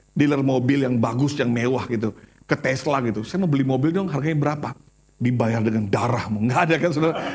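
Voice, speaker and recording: A man talks at a very fast pace and medium pitch with ordinary pitch variation. His tone is animated and his loudness very even. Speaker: pastor. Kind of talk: sermon.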